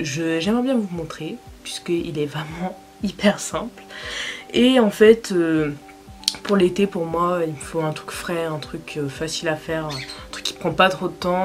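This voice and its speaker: A woman talks at a very slow pace with a fairly low pitch and ordinary pitch variation. Music plays in the background. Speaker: beauty vlogger. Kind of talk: casual makeup tutorial talk to camera.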